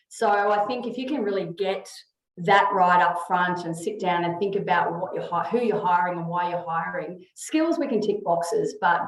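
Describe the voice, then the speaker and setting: A woman's voice at medium pitch with ordinary pitch variation, plus audible room echo. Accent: Australian. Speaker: HR consultant. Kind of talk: webinar presentation. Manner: fast.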